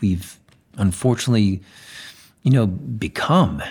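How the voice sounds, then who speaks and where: Somewhat breathy, a man speaks at a fairly slow pace with lively intonation. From Spain (Zaragoza). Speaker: chef and celebrity nutritionist. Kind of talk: casual chat. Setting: at guest's home.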